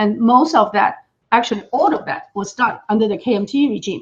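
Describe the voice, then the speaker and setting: A woman's fairly high voice at a fairly quick pace, with very wide pitch swings. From Taiwan. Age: 60s. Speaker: political commentator. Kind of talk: interview.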